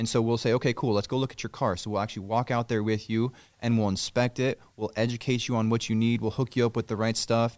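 A man with an American accent talks very fast at a medium pitch, barely pausing. His intonation is flat and monotone, and the sound is dry and close with no echo. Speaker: auto detailing shop owner. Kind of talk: casual interview. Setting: in his garage shop.

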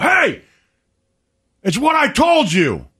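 Shouting in a put-on character voice, a man hits an extremely high pitch. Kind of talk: loud, commanding. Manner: yelling, scolding.

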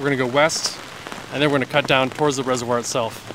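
Over noticeable background noise, a man with a fairly high pitch talks very fast. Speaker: mountain biker and trail volunteer. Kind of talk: casual guided tour. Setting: outdoors, walking in forest.

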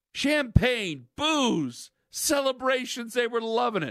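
An animated voice with a bright, sharp tone swings very widely in pitch on a very clean recording with a silent background. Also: man. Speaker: sports radio host. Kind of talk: sports talk radio. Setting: studio. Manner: fast.

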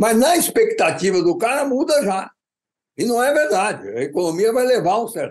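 Extremely high in pitch, a man's voice swings very widely in pitch. He keeps a moderate pace. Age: 80s+. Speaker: economist. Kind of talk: interview.

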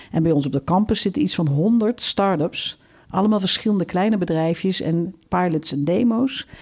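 Lively intonation marks an ordinary speaking voice. The pace is moderate, and the loudness stays very even. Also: woman, medium pitch for a woman. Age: 50s. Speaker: campus circularity director. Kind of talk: interview.

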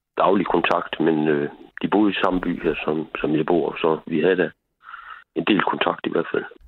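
Very deep and low, a man's voice moves at a fairly slow pace with fairly even intonation. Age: 70s. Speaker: caller. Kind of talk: phone-in call.

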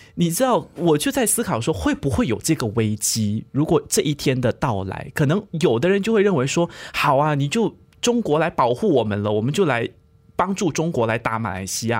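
A man with a fairly high pitch, vocal fry and very wide pitch swings talks at a moderate pace on a very clean recording with a silent background. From Malaysia. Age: 20s. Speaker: podcast co-host. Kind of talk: podcast discussion.

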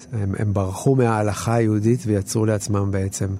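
A man speaks with a fairly low pitch at a moderate pace. His intonation stays fairly even. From Israel, kibbutz. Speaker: documentary film director. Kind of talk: interview commentary. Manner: halting, many repetitions and fillers.

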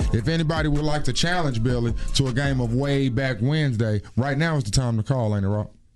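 With music in the background, a man with a medium pitch rushes along at a very fast pace, hardly any pauses, an animated tone and ordinary pitch variation. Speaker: radio host. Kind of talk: morning radio show banter. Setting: radio studio. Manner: animated, joking.

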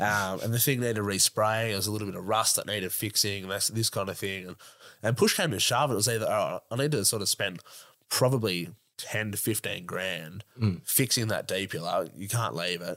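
In a very clean recording with a silent background, a man with an Australian accent speaks at a fairly quick pace in a fairly low pitch, with ordinary pitch variation and a bright, sharp tone. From Australia, Sydney north shore. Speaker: 4x4 YouTube content creator. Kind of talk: casual chat.

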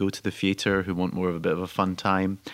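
A man's very deep, low voice with a Scottish accent at a moderate pace. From Scotland. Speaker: actor-director, theatre founder. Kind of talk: radio interview. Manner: halting.

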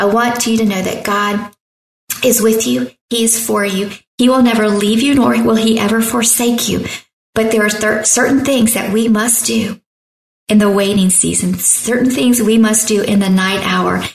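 Her pitch is fairly high, and her intonation stays fairly even as the woman talks at a moderate pace. Room echo can be heard. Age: 50s. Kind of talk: sermon-style devotional talk.

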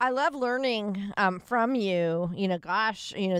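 The speaker has an unremarkable speaking voice with ordinary pitch variation, talking at a fairly slow pace. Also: woman. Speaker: radio co-host. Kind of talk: radio show. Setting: studio. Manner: upbeat.

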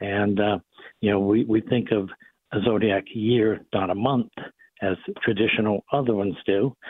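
A man with a Boston accent speaks at a medium pitch with fairly even intonation. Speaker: physician. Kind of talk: radio interview.

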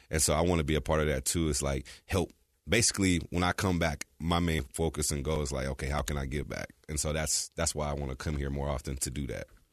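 At a very fast pace with hardly any pauses, a speaker with an American accent uses fairly even intonation and vocal fry against a quiet background. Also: man, very deep, low pitch for a man. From California. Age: 30s. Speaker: former college football player. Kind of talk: casual chat.

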